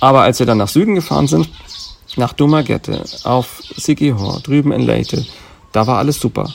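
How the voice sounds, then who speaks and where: A man's medium-pitched voice at a moderate pace, with lively intonation, very even loudness and long, frequent pauses. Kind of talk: casual chat. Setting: outdoors at a remote lodge.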